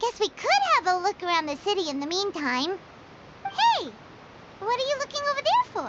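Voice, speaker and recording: A squeaky, put-on character voice with an extremely high pitch moves at a moderate pace, with long, frequent pauses. Clear background noise runs underneath. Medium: video game. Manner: chatty, excitable, talks about herself in third person.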